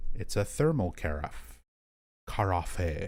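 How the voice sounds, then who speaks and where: In a calm tone, a man speaks with a somewhat breathy voice and very wide pitch swings. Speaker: video game streamer. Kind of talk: live gameplay stream commentary. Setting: live stream. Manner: calm, chill tone.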